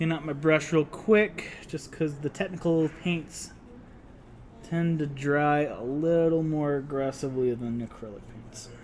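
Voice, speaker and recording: A speaker with an American accent talks at a fairly slow pace. The pitch rises and falls in an ordinary way. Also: man, fairly high pitch for a man. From Utah. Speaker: miniature painting instructor. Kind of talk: casual painting tutorial chat. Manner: casual, conversational.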